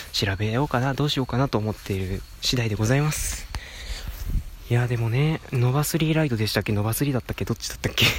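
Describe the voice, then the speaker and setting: There is noticeable background noise in the recording. A man speaks at a very fast pace. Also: medium pitch for a man, ordinary pitch variation. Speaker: podcast host. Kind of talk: casual solo talk. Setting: outdoors, walking by a road.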